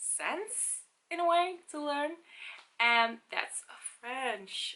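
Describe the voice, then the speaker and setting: This woman speaks very slowly in a bright, sharp tone. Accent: Dutch. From Netherlands. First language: Dutch. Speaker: language-learning vlogger. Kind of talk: casual vlog talk.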